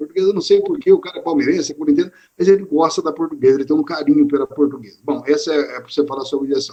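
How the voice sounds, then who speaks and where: A man speaks very fast, with hardly any pauses. His loudness swings widely. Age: 60s. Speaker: sports radio presenter. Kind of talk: interview on live stream. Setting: online live stream.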